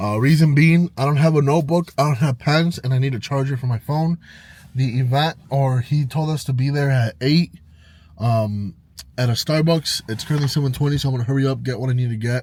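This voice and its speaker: An animated, somewhat breathy voice with an American accent, a fairly quick pace and ordinary pitch variation. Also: man, fairly high pitch for a man. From Illinois, Chicago suburbs (Round Lake). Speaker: vlogger. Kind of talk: casual vlog narration. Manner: casual, animated.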